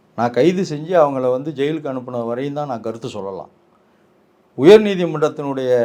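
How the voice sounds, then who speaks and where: A man talks at a fairly high pitch, with ordinary pitch variation and a dark, mellow tone. His loudness swings widely. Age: 50s. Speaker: lawyer and political commentator. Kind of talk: political interview. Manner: assertive.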